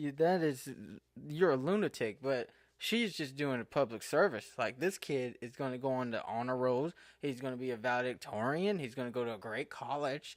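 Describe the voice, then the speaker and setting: In a very clean recording with a silent background, a man mumbles at a moderate pace and medium pitch, with ordinary pitch variation. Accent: American. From Eastern Kentucky. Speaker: podcaster. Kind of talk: casual monologue podcast. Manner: mumbling; halting, self-correcting.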